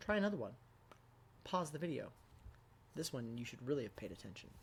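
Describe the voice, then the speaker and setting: A somewhat breathy voice at a very fast pace with very wide pitch swings. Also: man, fairly high pitch for a man. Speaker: math teacher. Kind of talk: tutorial. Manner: casual, conversational.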